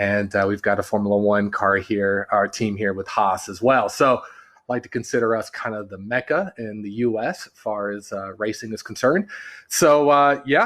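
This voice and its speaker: A man with a Californian accent at a moderate pace against a quiet background. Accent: sounds Californian. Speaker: branding agency partner. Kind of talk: podcast interview.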